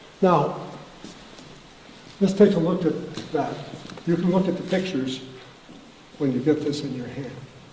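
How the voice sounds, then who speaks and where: Over noticeable background noise and audible room echo, a man with an American accent and a fairly high pitch takes long, frequent pauses, his pitch varying in an ordinary way. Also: moderate pace. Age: 80s+. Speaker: farmer. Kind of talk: speech. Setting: dinner event in a barn. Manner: animated.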